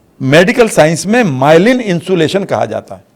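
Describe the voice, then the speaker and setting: The man's voice sits high in pitch. His pitch swings very widely. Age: 60s. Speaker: life coach. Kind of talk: interview. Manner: energetic.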